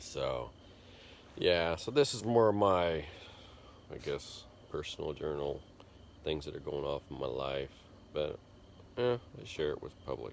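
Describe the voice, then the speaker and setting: A man mumbles at a fairly slow pace with long, frequent pauses. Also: big swings in loudness. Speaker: vlogger, computer programmer. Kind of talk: casual vlog monologue. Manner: mumbling.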